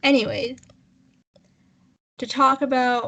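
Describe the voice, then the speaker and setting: A woman is speaking. She goes at a very slow pace. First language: not English. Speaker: podcast co-host. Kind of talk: casual chat. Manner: halting.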